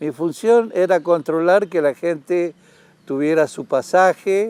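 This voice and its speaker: In a dry, close recording with no echo, a man speaks very slowly with lively intonation. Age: 70s. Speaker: retired railway conductor. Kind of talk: interview testimony.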